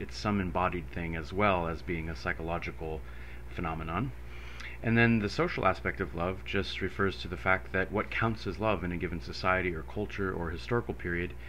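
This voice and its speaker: A man's very deep, low voice, bright and sharp in tone, with vocal fry, a fairly quick pace and light background noise. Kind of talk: lecture. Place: home room. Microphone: studio mic.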